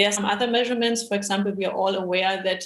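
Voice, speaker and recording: It is an unremarkable speaking voice. A woman talks at a medium pitch with fairly even intonation. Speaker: machine learning engineer at a bank. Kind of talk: panel discussion.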